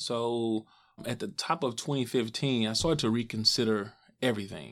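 With an American accent, a man speaks at a moderate pace and medium pitch. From Missouri, St. Louis. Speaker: app startup founder. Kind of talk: interview. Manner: hesitant with fillers.

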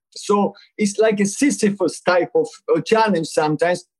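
A man with a high-pitched voice. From Argentina. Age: 60s. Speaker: palliative and supportive care physician. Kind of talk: interview conversation.

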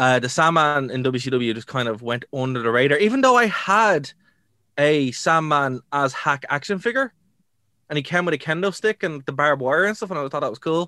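Recorded dry and close with no echo against a quiet background, a man with a Dublin accent talks at a fairly quick pace in a fairly high pitch, his tone bright and sharp. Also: lively intonation. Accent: Irish (Dublin). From Ireland. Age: 30s. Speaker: wrestling podcast co-host. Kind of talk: casual chat.

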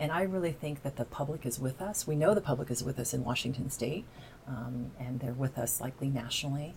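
A very deep, low-pitched female voice at a very fast pace, with ordinary pitch variation. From southern Indiana (Evansville). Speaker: climate initiative campaigner. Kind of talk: interview.

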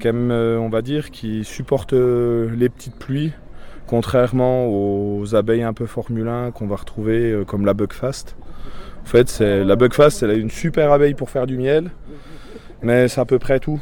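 A man has an unremarkable speaking voice at a medium pitch. He talks at a fairly slow pace with fairly even intonation. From Franche-Comté, Doubs. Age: 30s. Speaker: beekeeper and vineyard worker. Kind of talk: casual chat.

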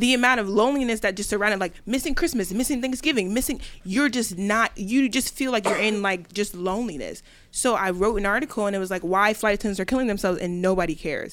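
The speech comes at a very fast pace. Its pitch varies in an ordinary way. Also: woman, fairly high pitch for a woman. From Delaware. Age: 20s. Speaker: entrepreneur. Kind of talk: casual chat.

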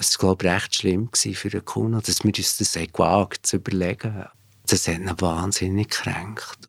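A man with a very deep, low pitch, monotone and flat in intonation, at a fairly slow pace. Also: dry, close sound with no echo. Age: 50s. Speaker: former band bassist. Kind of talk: interview recollection.

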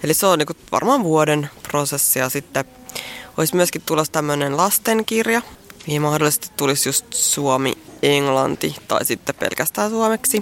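A woman speaks with a very deep, low pitch over noticeable background noise. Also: lively intonation, moderate pace. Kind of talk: poem reading, performed verse; casual interview chat. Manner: rhythmic, expressive delivery.

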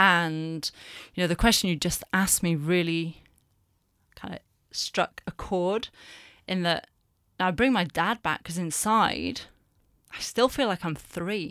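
With a northern English accent, a woman speaks at a fairly slow pace with long, frequent pauses, her fairly low voice bright and sharp in tone, on a very clean recording with a silent background. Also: ordinary pitch variation. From northern England. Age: 40s. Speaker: communications director. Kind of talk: personal interview, testimony.

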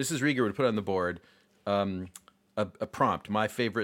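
Recorded very cleanly against a silent background, a man with an American accent talks fairly quickly in an unremarkable speaking voice. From US Northeast, Rochester, New York. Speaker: jazz saxophonist and music educator. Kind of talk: casual interview conversation.

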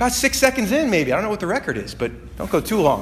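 Someone talks very fast in an animated tone over noticeable background noise. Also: man. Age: 20s. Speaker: pastor. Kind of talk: sermon. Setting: church.

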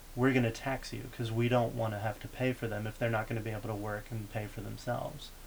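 A man speaks very fast with an American accent, hardly pausing at all. His intonation is monotone and flat, and there is noticeable background noise. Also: medium pitch for a man. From Texas. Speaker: graduate student in politics. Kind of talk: casual chat.

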